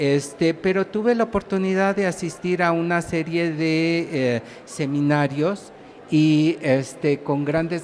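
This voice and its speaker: The delivery is at a fairly slow pace. Noticeable background noise is present. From Mexico, Mexico City. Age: 60s. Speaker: writer and professor researcher. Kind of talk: public talk. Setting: small stage at a book fair with audience. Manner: halting, many fillers.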